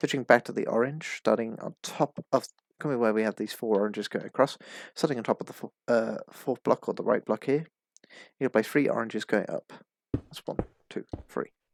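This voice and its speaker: At a fairly quick pace, a man talks with fairly even intonation and a medium pitch. The sound is dry and close with no echo, on a very clean recording with a silent background. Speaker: minecraft pixel art tutorial creator. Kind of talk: tutorial. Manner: fast.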